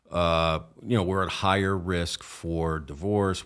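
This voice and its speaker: A man with a very deep, low pitch, a slight New Jersey accent, and fairly even intonation, on a very clean recording with a silent background. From northern New Jersey, Essex County. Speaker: police officer. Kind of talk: podcast interview.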